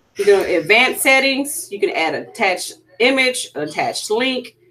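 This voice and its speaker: A woman speaks with a Louisiana accent. Her pitch swings very widely at a moderate pace. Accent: Louisiana Southern US. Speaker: PE teacher. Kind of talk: tutorial.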